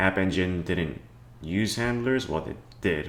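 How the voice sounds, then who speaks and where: With a Cantonese accent and a very deep, low pitch, a man speaks at a moderate pace with lively intonation in a room with audible echo. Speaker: programming tutorial youtuber. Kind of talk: tutorial. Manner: casual, hesitant with fillers.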